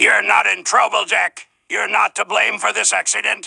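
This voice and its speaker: Using a raspy, cartoonish character voice, a man performs. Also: moderate pace. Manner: formal, commanding.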